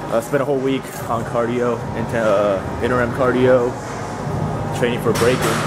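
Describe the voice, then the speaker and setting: A man speaking at a moderate pace, with music in the background. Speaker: fitness vlogger. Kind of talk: casual vlog chat. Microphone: phone near.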